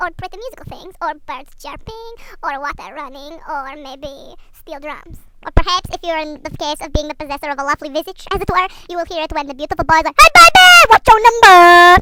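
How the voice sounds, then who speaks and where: A squeaky, put-on character voice at an extremely high pitch moves along at a fairly quick pace. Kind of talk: mock-academic comic lecture. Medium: comedy sketch. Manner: stilted, overly formal phrasing.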